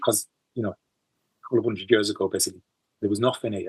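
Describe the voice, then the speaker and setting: In a Teesside accent, a man speaks with a dry, close sound and no echo. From Teesside, northeast England. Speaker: musician. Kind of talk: interview. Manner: halting.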